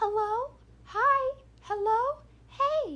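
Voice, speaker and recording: The put-on character voice sits at an extremely high pitch. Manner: eerie, drawn-out.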